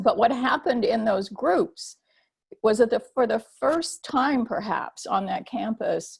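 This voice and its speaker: Woman with an American accent, vocal fry, lively intonation and a fairly slow pace. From US military bases, Japan-born. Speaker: theologian and activist. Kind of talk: panel webinar talk. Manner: halting, many fillers.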